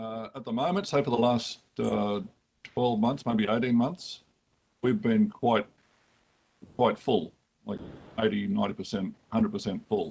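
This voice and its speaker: With an Australian accent, a man talks at a fairly slow pace and a medium pitch, his intonation lively and his speech marked by long, frequent pauses. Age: 60s. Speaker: lawyer and lodging house operator. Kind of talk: committee hearing testimony.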